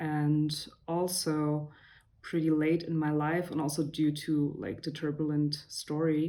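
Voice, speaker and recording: Her very deep, low voice has a dark, mellow tone and monotone, flat intonation, moving at a fairly slow pace. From Belgrade, Serbia then Berlin from 14. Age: 30s. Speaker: podcast guest, music producer. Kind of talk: casual interview.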